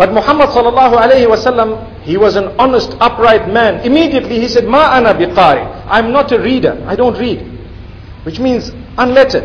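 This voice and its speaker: A man with an extremely high pitch talks at a fairly quick pace, with ordinary pitch variation. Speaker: religious lecturer. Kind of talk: sermon. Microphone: podium.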